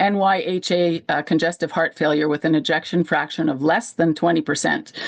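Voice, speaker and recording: With lively intonation and a fairly low pitch, a woman talks at a moderate pace in an ordinary speaking voice. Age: 60s. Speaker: heart failure patient sharing her story. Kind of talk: personal testimony.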